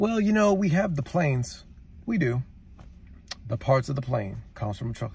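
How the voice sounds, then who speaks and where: The man's somewhat breathy voice moves at a moderate pace with very wide pitch swings and long, frequent pauses, in a dry sound with no echo. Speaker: truck driver vlogger. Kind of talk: angry rant to camera, listing everything trucks deliver. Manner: heated, repetitive, emphatic hammering of one point; exasperated, scolding. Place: car. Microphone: phone near.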